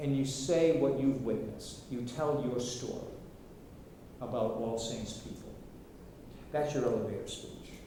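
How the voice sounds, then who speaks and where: Long, frequent pauses break up a man's medium-pitched speech, its intonation fairly even. Audible room echo and noticeable background noise surround him. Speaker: workshop facilitator. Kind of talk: workshop presentation. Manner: slow; halting, many repetitions.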